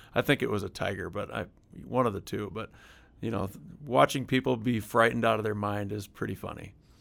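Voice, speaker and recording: A man with vocal fry talks at a fairly quick pace in a fairly low voice with ordinary pitch variation, in a very clean recording with a silent background. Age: 40s. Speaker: interviewee, father. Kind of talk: testimony.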